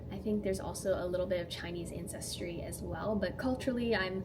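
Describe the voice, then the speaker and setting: Music plays in the background while a woman talks at a moderate pace with a medium pitch. Audible room echo surrounds her voice. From Canada, near Toronto. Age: 20s. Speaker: DJ and content creator. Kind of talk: casual get-to-know-me vlog. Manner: animated.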